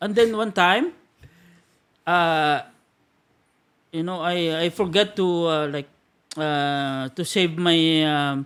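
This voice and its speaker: A man's high voice in a Filipino accent, very slow, with ordinary pitch variation and long, frequent pauses. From Philippines, Iloilo. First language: Hiligaynon (Ilonggo). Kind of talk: casual podcast conversation. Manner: hesitant, many fillers.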